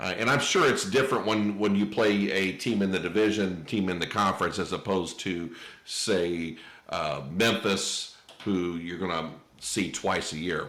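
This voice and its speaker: Audible room echo surrounds a man with an American accent who speaks at a moderate pace and a very deep, low pitch. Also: ordinary pitch variation. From Indiana (Terre Haute). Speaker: podcast host. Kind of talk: casual interview chat.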